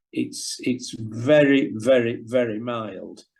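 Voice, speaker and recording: A man with a Yorkshire accent speaks at a medium pitch. His intonation is fairly even. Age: 70s. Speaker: former professional cricketer. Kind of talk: interview. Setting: video call.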